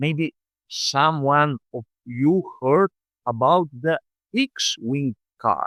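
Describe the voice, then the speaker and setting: A man's fairly high voice at a very slow pace, with long, frequent pauses and ordinary pitch variation, in a dry, close sound with no echo. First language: Slovenian. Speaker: motorsport vlogger. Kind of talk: scripted narration.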